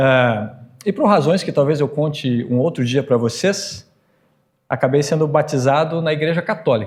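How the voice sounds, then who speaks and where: A somewhat breathy man's voice sits fairly high with ordinary pitch variation. He speaks at a moderate pace. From northern Brazil, Pará (born Espírito Santo). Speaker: Lutheran professor and pastor. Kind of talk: talk or lecture to a church audience.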